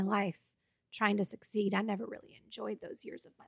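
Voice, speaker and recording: This medium-pitched woman speaks with an American accent. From Boston area, Massachusetts. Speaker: actress and filmmaker. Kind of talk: casual interview chat.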